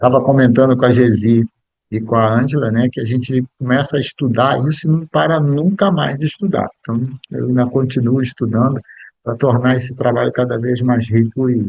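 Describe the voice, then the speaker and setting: A dry, close sound with no echo, pitch varying in an ordinary way. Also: man, medium pitch for a man, moderate pace. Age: 60s. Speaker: biographical counselor and speaker. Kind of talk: lecture. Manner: halting.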